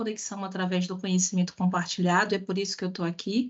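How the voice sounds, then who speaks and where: A woman talks at a very fast pace. Her voice is somewhat breathy and medium in pitch. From Bahia, Brazil (Salvador). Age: 30s. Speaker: diversity and inclusion specialist, speaker. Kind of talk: online talk/lecture with audience interaction.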